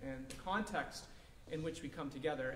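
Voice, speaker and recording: With audible room echo and light background noise, a man speaks using ordinary pitch variation. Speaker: pastor. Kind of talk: sermon. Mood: calm, reassuring. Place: hall.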